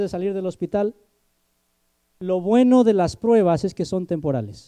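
Here a man speaks with a high pitch and a dark, mellow tone. The background is quiet. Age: 20s. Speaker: preacher. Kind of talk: sermon. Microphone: handheld.

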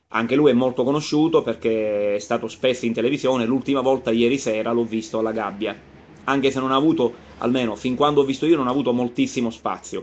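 A man's speech moves at a very fast pace with fairly even intonation. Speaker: web show host. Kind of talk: casual vlog chat. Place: home room. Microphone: phone near.

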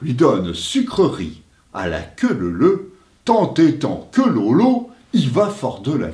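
Plain reading aloud is all the clip contains.

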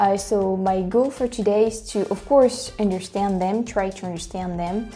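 A woman with a French accent speaks at a fairly slow pace and medium pitch, with faint music in the background. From France. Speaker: language reaction youtuber. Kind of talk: casual talk to camera. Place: home room. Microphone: lapel.

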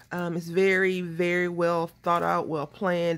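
With a Southern US accent, a woman speaks at a fairly low pitch. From Texas. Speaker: craft video creator. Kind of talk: casual crafting tutorial. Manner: nervous chatter.

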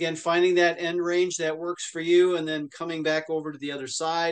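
The background is quiet as a man talks at a moderate pace. His pitch is high. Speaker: fitness instructor. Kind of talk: exercise class instruction. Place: home room.

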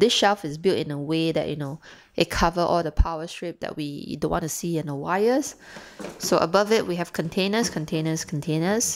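A woman has an unremarkable speaking voice with a fairly low pitch and ordinary pitch variation. She speaks at a moderate pace over light background noise. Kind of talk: casual home tour narration. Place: kitchen. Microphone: phone near.

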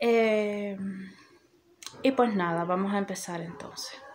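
A woman's fairly slow speech with ordinary pitch variation and light background noise. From Cuba. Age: 30s. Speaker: YouTuber. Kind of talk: informational vlog. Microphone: phone near.

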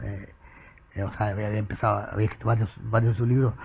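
There is a somewhat breathy quality to this man's speech. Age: 50s. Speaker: writer and journalist; journalist. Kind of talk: casual chat. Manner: halting, many repetitions and fillers. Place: studio. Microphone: lapel.

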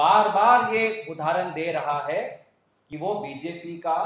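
A man speaks very slowly in a high pitch for a man, with ordinary pitch variation and audible room echo. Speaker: politician at press conference. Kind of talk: press conference statement. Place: hall.

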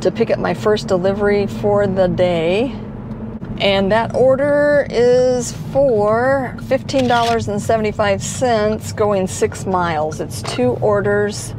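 The woman talks at a very slow pace. The sound is dry with no echo, against noticeable background noise. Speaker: delivery driver vlogger. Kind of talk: casual vlog chat. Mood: relaxed, slightly nervous about live. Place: car. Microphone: lapel.

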